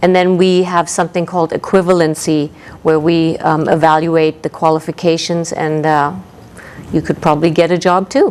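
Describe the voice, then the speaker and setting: A woman with a slight German accent speaks in a fairly low pitch with monotone, flat intonation at a moderate pace, with noticeable background noise behind her. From East Germany. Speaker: ESL college instructor. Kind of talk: interview. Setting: TV studio.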